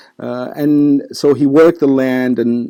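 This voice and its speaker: Speaking very slowly, a man has a medium pitch and a dark, mellow tone. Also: very clean recording, silent background. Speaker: lecturer / historian on Lebanese history. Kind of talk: lecture-style talk to camera. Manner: casual, with frequent hesitations.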